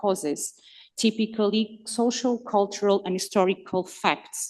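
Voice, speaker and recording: A woman with a non-native accent talks at a moderate pace in a medium pitch. Her tone is dark and mellow, her intonation fairly even. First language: not English. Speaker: conference speaker. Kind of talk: academic talk partly read from text. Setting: conference hall with audience. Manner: hesitant, with fillers.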